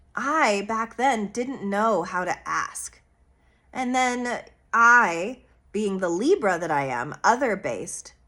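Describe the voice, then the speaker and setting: A woman speaks loudly and very slowly in a fairly high pitch, with a bright, sharp tone and lively intonation. The recording is very clean, with a silent background. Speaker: astrologer. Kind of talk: monologue on astrology. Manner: expressive.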